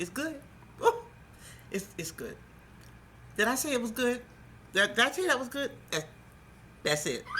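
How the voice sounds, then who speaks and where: A woman's voice swings very widely in pitch while noticeable background noise carries on behind her. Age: 60s. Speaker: cooking show host. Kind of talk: cooking tutorial. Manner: animated.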